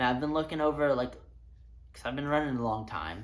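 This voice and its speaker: Audible room echo around a female voice, its pitch varying in an ordinary way. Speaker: amateur runner vlogger. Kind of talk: casual vlog talk to camera.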